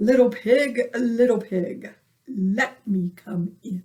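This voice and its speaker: A female-sounding voice takes on a put-on character voice, fairly high in pitch and at a very slow pace. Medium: read story.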